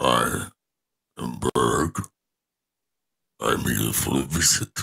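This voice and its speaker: A put-on character voice from a man, very deep and low in pitch, raspy, at a very slow pace. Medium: actual play. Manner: blunt, direct.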